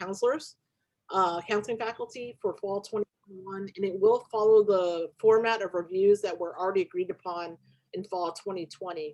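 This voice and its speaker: Her pitch sits at a medium level, and this woman shows ordinary pitch variation. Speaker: union officer presenting to faculty. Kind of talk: online meeting presentation. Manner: fast.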